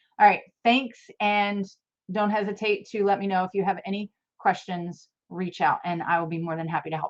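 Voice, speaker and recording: A woman with an unremarkable speaking voice talks at a fairly quick pace with fairly even intonation and big swings in loudness. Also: medium pitch for a woman. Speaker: planner creator and coach. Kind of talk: tutorial.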